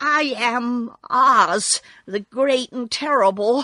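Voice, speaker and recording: Using a put-on character voice, a woman speaks very slowly in a high, shaky pitch with ordinary pitch variation and a dry, close sound with no echo. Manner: frightened, trembling.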